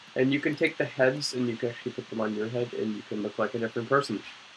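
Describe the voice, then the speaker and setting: A man speaks at a very fast pace, his pitch medium and his intonation fairly even. Noticeable background noise sits behind him. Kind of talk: casual gameplay tour narration.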